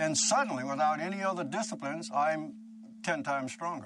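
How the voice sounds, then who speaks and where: Here a man has an ordinary speaking voice, fairly high in pitch. He moves at a fairly quick pace with lively intonation. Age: 60s. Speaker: breatharian, former recording studio owner. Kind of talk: documentary interview. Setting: at his remote home.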